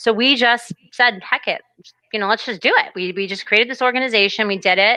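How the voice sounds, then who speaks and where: A woman speaks with a bright, sharp tone. Her pitch varies in an ordinary way. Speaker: co-founder and president of a police suicide prevention nonprofit. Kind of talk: interview conversation. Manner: fast; unscripted, spontaneous.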